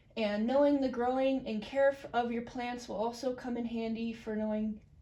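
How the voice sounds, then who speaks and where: This woman's voice is high in pitch. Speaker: student. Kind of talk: class presentation. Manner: hesitant, many fillers.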